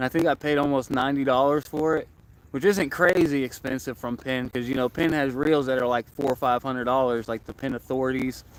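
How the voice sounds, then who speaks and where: A plain, everyday voice: a man of medium pitch with an American accent, fairly quick pace and fairly even intonation. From Florida. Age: 20s. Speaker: angler livestreamer. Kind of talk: casual livestream chat. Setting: outdoors by a lake.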